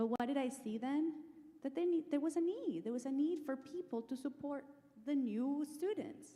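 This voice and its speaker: Pitched high, a woman talks with ordinary pitch variation. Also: moderate pace. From Latin America. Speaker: business executive. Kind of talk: panel discussion.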